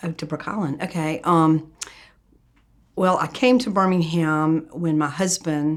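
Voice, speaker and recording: Her pitch very deep and low, a woman talks at a fairly slow pace with ordinary pitch variation. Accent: Southern US. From US South, Atlanta, Georgia. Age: 70s. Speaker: pediatrician. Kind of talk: interview.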